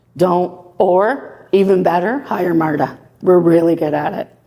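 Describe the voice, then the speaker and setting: A woman's pitch varies in an ordinary way as noticeable background noise runs underneath. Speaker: property manager. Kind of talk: presentation. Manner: loud.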